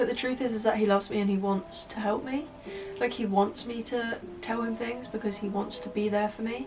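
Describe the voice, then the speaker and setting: With music in the background, a woman with a Southern English accent speaks at medium pitch and a moderate pace, her pitch varying in an ordinary way. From Hampshire, England. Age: 20s. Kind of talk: casual talk to camera.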